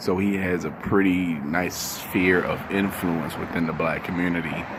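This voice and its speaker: Quiet and fairly slow, a man speaks in a very deep, low pitch with monotone, flat intonation, against noticeable background noise and audible room echo. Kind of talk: casual commentary vlog. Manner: quiet, voice kept down; halting, many fillers.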